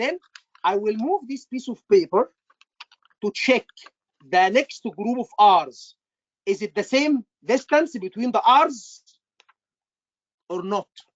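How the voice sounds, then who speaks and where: The speaker has an Egyptian accent. The delivery is very slow, with long, frequent pauses. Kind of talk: teaching, explaining.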